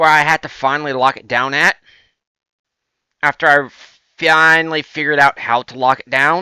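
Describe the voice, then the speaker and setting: A man with a Southern US accent speaks at a fairly high pitch and a moderate pace, his tone bright and sharp and his intonation monotone and flat. He leaves long, frequent pauses, and the recording is very clean with a silent background. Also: big swings in loudness, dry, close sound with no echo. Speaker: gaming video creator. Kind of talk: let's play commentary. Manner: halting.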